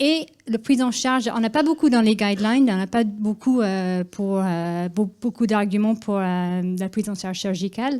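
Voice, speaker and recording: In a very clean recording with a silent background, a woman with a slight Irish accent speaks at a moderate pace, her fairly high voice dark and mellow in tone with ordinary pitch variation. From Ireland. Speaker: cardiologist. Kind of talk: conference presentation. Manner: hesitant, many fillers.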